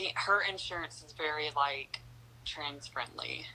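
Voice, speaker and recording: This woman speaks with a Southern accent. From North Carolina. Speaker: interview guest. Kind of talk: interview.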